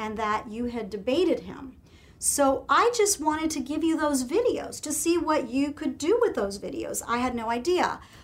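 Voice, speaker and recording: At a moderate pace and with hardly any pauses, a woman speaks at a high pitch with very wide pitch swings. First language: Spanish. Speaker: host's wife, political commentator. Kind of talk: casual interview conversation.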